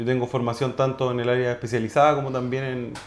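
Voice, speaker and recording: Against noticeable background noise and audible room echo, a man speaks at a medium pitch with a Chilean accent. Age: 30s. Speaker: orthodontist. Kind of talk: testimony. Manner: halting, many repetitions and fillers.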